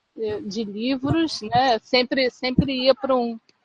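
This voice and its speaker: The voice moves at a very slow pace with ordinary pitch variation. The sound is dry and close, with no echo. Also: woman. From Brazil, Rio de Janeiro. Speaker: literary translator. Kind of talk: casual chat. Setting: video call.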